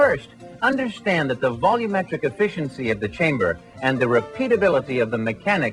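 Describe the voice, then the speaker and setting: Music plays behind a man speaking at a fairly quick pace. His fairly high pitch swings very widely. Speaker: voice actor. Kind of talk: corporate narration. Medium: voice reel.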